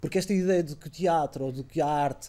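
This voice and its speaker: In a very clean recording with a silent background, a man with a high pitch and a dark, mellow tone talks very fast with ordinary pitch variation. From Portugal. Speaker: theatre artist. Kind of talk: interview. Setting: studio.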